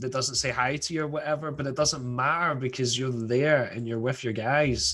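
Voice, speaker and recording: A man speaks in a Scottish accent at a medium pitch. His intonation stays fairly even. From Scotland, Glasgow. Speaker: rock band musician. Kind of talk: radio interview.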